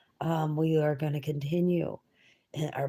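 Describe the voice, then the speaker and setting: This woman speaks quietly in a very deep, low pitch, her tone dark, mellow and somewhat breathy. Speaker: reader of books aloud. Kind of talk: reading aloud.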